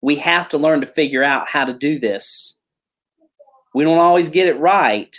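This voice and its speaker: Pausing long and often, a man speaks in a Southern US accent at a fairly high pitch. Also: ordinary pitch variation, moderate pace. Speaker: pastor. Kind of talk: interview.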